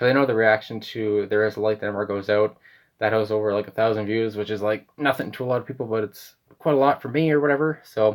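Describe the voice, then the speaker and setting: In a very clean recording with a silent background, a speaker with a Canadian accent goes at a very fast pace with fairly even intonation. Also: man, fairly low pitch for a man. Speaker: music reaction youtuber. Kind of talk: casual monologue. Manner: hesitant, many fillers.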